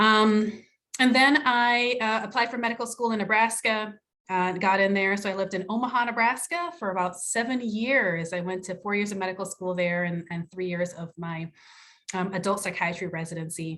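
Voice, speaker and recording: A woman speaks at a moderate pace with an American accent. Her tone is bright and sharp, and the recording is very clean with a silent background. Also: medium pitch for a woman, ordinary pitch variation. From Jamaica. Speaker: psychiatrist. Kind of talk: self-introduction in panel discussion. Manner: halting, many fillers.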